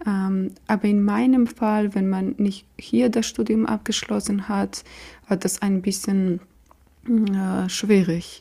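A very slow, somewhat breathy voice with a Georgian accent and a dark, mellow tone. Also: woman, medium pitch for a woman, ordinary pitch variation. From Georgia, Tbilisi. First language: Georgian (speaking German). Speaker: doctoral student in clinical psychology. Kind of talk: interview. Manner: halting, many fillers.

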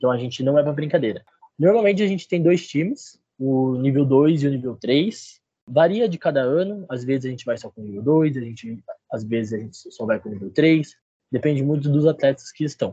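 A man's fairly high, dark, mellow voice at a fairly quick pace, with lively intonation and big swings in loudness. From interior of São Paulo state, Brazil. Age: 20s. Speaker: university student and cheerleading athlete. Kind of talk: casual podcast interview.

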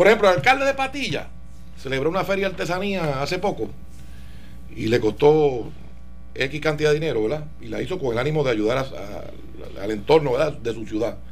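A man talks at a fairly quick pace. Audible room echo and noticeable background noise come through. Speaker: political guest. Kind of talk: radio interview.

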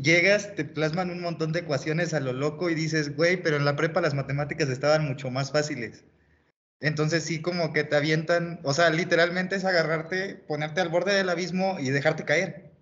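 A man's unremarkable speaking voice, fairly high in pitch, fairly quick and fairly even in intonation. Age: 20s. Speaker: engineering student, co-host. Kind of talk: casual chat.

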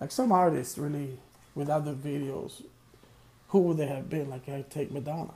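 A man with a dark, mellow tone and a somewhat breathy voice speaks at a moderate pace with fairly even intonation, long, frequent pauses, and big swings in loudness. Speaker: solo podcast host, music reviewer. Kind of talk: casual solo monologue. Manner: hesitant, filler-heavy.

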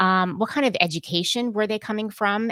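On a very clean recording with a silent background, an ordinary speaking voice in an American accent proceeds at a moderate pace. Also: woman. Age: 40s. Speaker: podcast host and editor. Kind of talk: casual interview chat.

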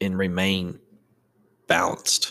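This is a man speaking on a very clean recording with a silent background. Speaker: podcast host. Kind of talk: casual solo chat. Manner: casual, joking, profane.

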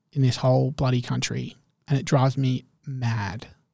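A man with an Australian accent speaks at a moderate pace in a dark, mellow, somewhat breathy tone with lively intonation. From Perth, Western Australia. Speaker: marketer. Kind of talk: casual chat.

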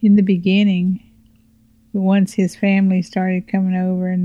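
A woman speaks at a moderate pace in a somewhat breathy voice. Her intonation is monotone and flat. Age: 60s. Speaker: host's mother. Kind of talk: interview.

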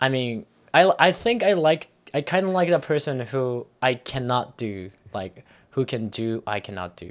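With a Japanese accent, a man speaks at a medium pitch that swings very widely. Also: moderate pace. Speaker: anime podcast co-host. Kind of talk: casual chat. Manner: halting.

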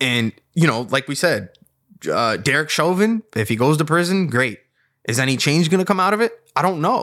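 A man with an American accent and a fairly high, bright, sharp voice swings very widely in pitch on a very clean recording with a silent background. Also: moderate pace. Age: 30s. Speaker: podcast co-host. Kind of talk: casual political discussion.

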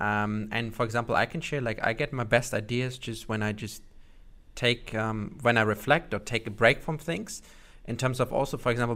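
A man with a German accent, a bright, sharp tone, moderate pace and fairly even intonation, on a very clean recording with a silent background. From Germany. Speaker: podcast host, marketer. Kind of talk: podcast interview. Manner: hesitant with many fillers.

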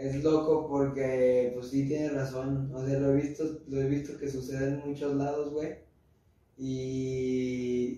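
With audible room echo, a man talks in a fairly high pitch and a monotone, flat intonation. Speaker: podcast host. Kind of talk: casual chat.

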